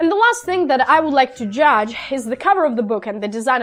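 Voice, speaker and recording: Music plays in the background as a woman speaks with a non-native accent. Her intonation is lively. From Ukraine. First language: Russian. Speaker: book vlogger. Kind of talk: casual review vlog. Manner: halting, many fillers.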